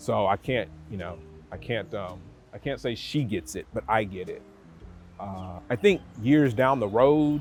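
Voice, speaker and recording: Music plays behind a man with a fairly low pitch and lively intonation. He talks at a fairly slow pace with long, frequent pauses and big swings in loudness. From North America. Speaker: expat retiree. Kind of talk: casual talk to camera. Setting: outdoors in a park.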